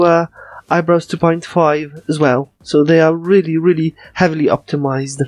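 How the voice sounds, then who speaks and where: A man's high-pitched voice with a Polish accent, at a fairly slow pace with fairly even intonation, dry and close with no echo, over music in the background. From Poland. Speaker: podcast co-host. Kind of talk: casual chat.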